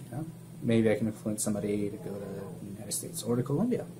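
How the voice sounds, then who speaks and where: A man's fairly low voice at a very fast pace, broken by long, frequent pauses, over noticeable background noise. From Colombia, Bogota. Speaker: student vlogger. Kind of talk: vlog introduction. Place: office. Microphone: webcam.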